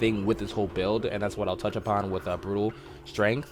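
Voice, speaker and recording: A man talking at a fairly quick pace. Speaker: gaming content creator. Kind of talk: tutorial. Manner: halting, many fillers.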